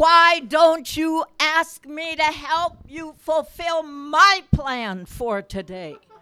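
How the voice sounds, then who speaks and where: A woman with a high pitch projects a raised voice, using lively intonation and big swings in loudness. She talks very slowly yet with hardly any pauses. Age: 80s+. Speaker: church member. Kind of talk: testimony. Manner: animated.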